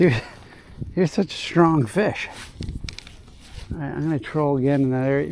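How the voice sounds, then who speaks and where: Over noticeable background noise, a man with a fairly high pitch sounds excited, moving at a moderate pace with ordinary pitch variation. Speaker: fishing video host. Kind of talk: casual vlog commentary while fishing. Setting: outdoors on a boat. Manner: excited exclamations; quiet, hushed.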